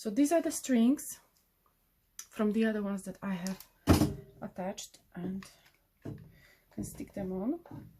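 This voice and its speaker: A woman with a dark, mellow, somewhat breathy tone speaks at a fairly slow pace, using lively intonation and long, frequent pauses. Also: medium pitch for a woman. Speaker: craft tutorial maker. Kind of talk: tutorial.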